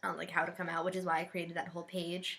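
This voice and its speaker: A loud voice with a bright, sharp tone delivers everything in a flat monotone. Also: woman. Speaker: LGBT vlogger. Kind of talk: casual chat.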